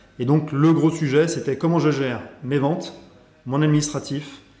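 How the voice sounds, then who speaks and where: A man speaks at a moderate pace in a fairly high pitch with fairly even intonation. Audible room echo surrounds his voice. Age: 40s. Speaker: sales executive. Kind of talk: interview.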